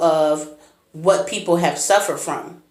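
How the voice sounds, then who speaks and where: With music in the background and audible room echo, a woman speaks with fairly even intonation. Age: 30s. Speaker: blind motivational speaker, vlogger. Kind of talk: personal vlog monologue.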